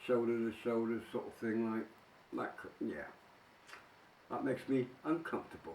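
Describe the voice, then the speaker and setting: A man is speaking. His pitch moves with ordinary variation. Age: 60s. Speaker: vlogger. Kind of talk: casual monologue answering tag questions. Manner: hesitant, with many fillers.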